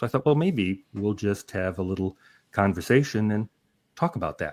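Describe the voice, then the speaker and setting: In a very clean recording with a silent background, a man speaks at a fairly low pitch in an unremarkable speaking voice. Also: lively intonation, moderate pace. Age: 60s. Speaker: YouTuber and interviewer. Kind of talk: casual chat.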